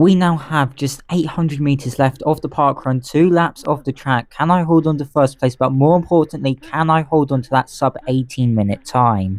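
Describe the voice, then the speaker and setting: In a very clean recording with a silent background, a man with an English accent speaks at a fairly high pitch and a moderate pace, with ordinary pitch variation and hardly any pauses. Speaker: running vlogger. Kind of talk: live running commentary. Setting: outdoors, running a race in bad weather. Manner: panting, heavy breathing.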